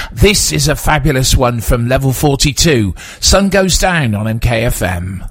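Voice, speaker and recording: A man speaks very slowly at a medium pitch. His pitch swings very widely over noticeable background noise. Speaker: late-night radio DJ. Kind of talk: late-night radio DJ patter, back-announcing tracks and greeting night-shift listeners. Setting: radio studio. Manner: warm, relaxed and unhurried, smooth easygoing friendliness; occasional filler 'uh' between casual links.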